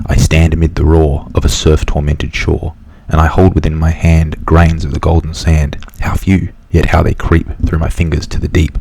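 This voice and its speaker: There is noticeable background noise as a man speaks at a moderate pace. His very deep, low voice stays monotone and flat. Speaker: ASMR creator. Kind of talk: whispered poem reading.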